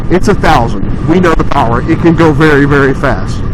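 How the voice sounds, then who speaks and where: Audible room echo and noticeable background noise surround speech delivered fairly quickly. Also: man. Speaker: motorcycle vlogger. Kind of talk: casual vlog review while riding. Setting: outdoors on a motorcycle. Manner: loud, near yelling; casual, halting with fillers.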